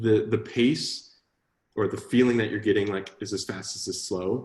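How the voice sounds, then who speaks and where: A man with a fairly low pitch talks at a fairly quick pace, somewhat breathy and with fairly even intonation. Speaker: coding instructor. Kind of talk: online class Q&A. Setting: live online class. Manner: fast talker.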